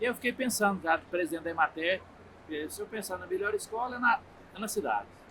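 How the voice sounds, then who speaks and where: Someone talks very fast in a raised, projected voice with lively intonation over noticeable background noise. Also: man. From Minas Gerais, Brazil (Triângulo Mineiro). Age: 60s. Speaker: federal politician, agronomist. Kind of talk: interview. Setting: agricultural fair.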